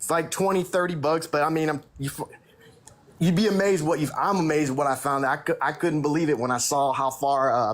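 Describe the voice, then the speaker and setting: The delivery is animated, with an American accent. Pitch variation is ordinary. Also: man, fairly high pitch for a man, fairly quick pace. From Texas. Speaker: livestream guest. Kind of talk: casual live chat.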